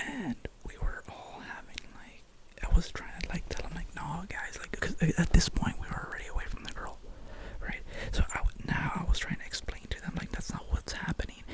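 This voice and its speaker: A whispering man, with noticeable background noise and big swings in loudness. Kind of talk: ASMR boyfriend roleplay, telling a personal story. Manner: sleepy, rambling, casual; intimate, soft.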